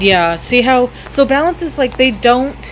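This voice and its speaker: The pace is very slow. Noticeable background noise runs throughout. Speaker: gaming YouTuber. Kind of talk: gameplay tutorial. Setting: wearing headphones while recording. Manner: halting; loud.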